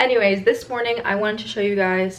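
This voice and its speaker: A woman's medium-pitched voice with lively intonation and an American accent, over noticeable background noise. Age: 20s. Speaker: college cheerleader and vlogger. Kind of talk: casual vlog. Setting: at home, handheld camera. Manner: soft-spoken.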